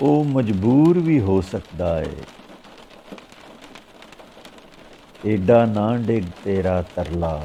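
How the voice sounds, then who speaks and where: A man speaks at a fairly low pitch with lively intonation. Noticeable background noise is present. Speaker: poet. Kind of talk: poetry reading.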